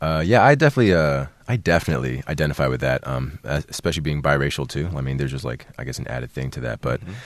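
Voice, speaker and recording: A man talks at a very fast pace. His very deep, low voice carries vocal fry. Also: ordinary pitch variation. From international schools in Asia. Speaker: radio host. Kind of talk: casual interview. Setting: studio.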